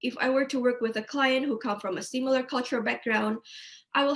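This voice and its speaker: A woman talks at a fairly quick pace. Her high voice carries a non-native accent. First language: not English. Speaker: counselling student. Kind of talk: webinar presentation. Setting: online webinar.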